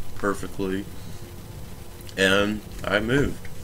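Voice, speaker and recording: Recorded with audible room echo, a man speaks in a fairly low pitch. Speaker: gaming youtuber. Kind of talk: let's play commentary. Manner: casual, hesitant.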